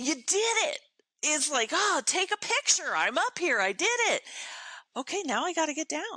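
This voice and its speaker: Dry and close with no echo, a woman's raised, projected voice sits at an extremely high pitch, swinging very widely at a moderate pace with long, frequent pauses. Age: 60s. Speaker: motivational speaker and performer. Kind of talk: podcast interview. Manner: animated.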